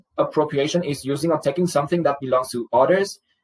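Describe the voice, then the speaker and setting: With a Vietnamese accent, a man talks at a fairly quick pace in a somewhat breathy voice. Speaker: student. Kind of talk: class presentation. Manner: formal.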